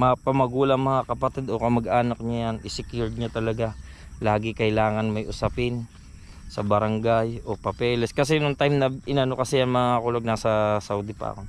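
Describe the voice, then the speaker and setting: This man's voice sits at medium pitch with fairly even intonation. He talks at a fairly quick pace. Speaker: vlogger. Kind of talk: personal vlog testimony. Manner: usually loud, raised voice.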